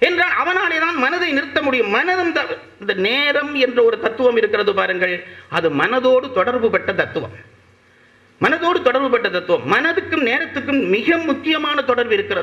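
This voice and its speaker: A man with a Sri Lankan accent in a raised, projected voice, extremely high in pitch with very wide pitch swings, over noticeable background noise. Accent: Sri Lankan Tamil. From Sri Lanka, Jaffna. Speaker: orator. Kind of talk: public lecture.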